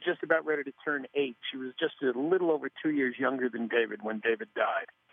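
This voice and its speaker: Using an ordinary speaking voice, a man with an American accent talks at a fairly high pitch and moderate pace with ordinary pitch variation. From New York area. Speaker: grief workshop founder and improv comedian. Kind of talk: interview.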